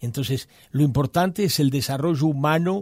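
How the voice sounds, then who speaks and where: On a very clean recording with a silent background, a man's intonation is lively. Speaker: quality institute director. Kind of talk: radio interview. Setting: studio. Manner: halting.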